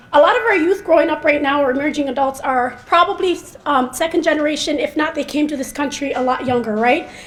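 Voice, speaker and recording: Here a woman speaks with an American accent and a high pitch. Her pitch variation is ordinary. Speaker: mental health researcher. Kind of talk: speech. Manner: fast.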